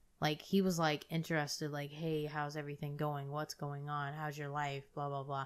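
Very deep and low in pitch, a woman speaks with hardly any pauses on a very clean recording with a silent background. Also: moderate pace. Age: 20s. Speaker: podcast co-host. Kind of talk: casual chat. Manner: animated.

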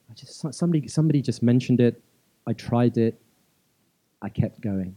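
A man with a London accent is heard in a dry, close recording with no echo. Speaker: dance teacher. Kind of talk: live stage interview. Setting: stage with audience.

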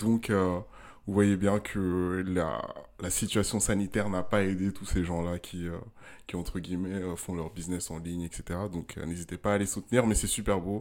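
A man with a very deep, low pitch speaks at a fairly slow pace with fairly even intonation. The recording is very clean, with a silent background. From Ghana. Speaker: podcast co-host. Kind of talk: casual chat.

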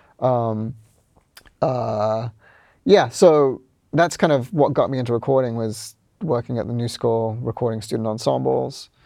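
With a New Zealand accent, a man speaks fairly slowly in a medium pitch with a dark, mellow tone, ordinary pitch variation, and long, frequent pauses. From New Zealand, Auckland. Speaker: music producer and studio engineer. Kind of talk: casual interview.

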